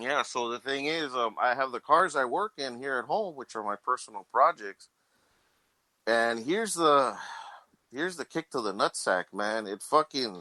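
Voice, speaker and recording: Recorded very cleanly against a silent background with a dry, close sound and no echo, a man speaks at a moderate pace in a bright, sharp, medium-pitched voice with lively intonation. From Texas, Laredo. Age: 40s. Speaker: car mechanic. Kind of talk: casual chat.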